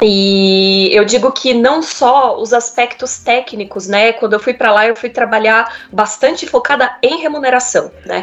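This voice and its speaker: Over noticeable background noise, a woman with a high voice speaks fairly slowly with ordinary pitch variation and hardly any pauses. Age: 30s. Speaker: HR manager. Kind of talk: interview.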